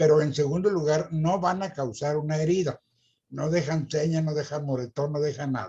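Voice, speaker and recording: A somewhat breathy, dark and mellow tone at a moderate pace, with ordinary pitch variation. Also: man, fairly high pitch for a man. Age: 80s+. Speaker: retired teacher. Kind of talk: interview.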